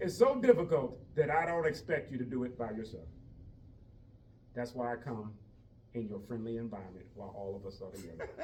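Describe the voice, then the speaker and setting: A somewhat breathy man talks at a fairly quick pace and a medium pitch, with lively intonation and long, frequent pauses. Room echo is audible. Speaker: fitness instructor for seniors. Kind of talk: exercise class instruction. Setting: group class at senior village.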